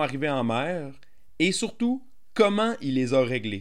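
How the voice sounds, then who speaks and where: A man at a fairly slow pace with very wide pitch swings, on a very clean recording with a silent background. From Gaspésie, Quebec. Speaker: podcast host, sailing school owner. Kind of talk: podcast intro; casual interview.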